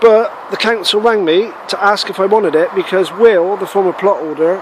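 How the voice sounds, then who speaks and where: A man with a Bristol accent, high-pitched, at a moderate pace with ordinary pitch variation, over noticeable background noise. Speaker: allotment gardener vlogger. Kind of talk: casual video walkthrough. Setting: outdoors on allotment.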